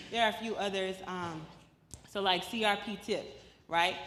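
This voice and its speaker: A woman with a medium-pitched voice talks, and audible echo from the room follows her words. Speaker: policy advocate. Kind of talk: presentation. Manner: conversational, animated.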